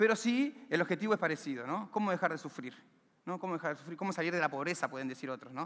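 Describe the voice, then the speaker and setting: A man with an Argentine accent talks very fast in a high pitch with lively intonation. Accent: Rioplatense Argentine Spanish. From Argentina, Buenos Aires area (villa La Cárcova, San Martín); Buenos Aires, Argentina. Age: 30s. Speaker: community library founder, former prisoner; speaker. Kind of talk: motivational talk; inspirational talk. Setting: stage with audience. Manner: halting, frequent repetitions. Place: stage. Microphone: headset.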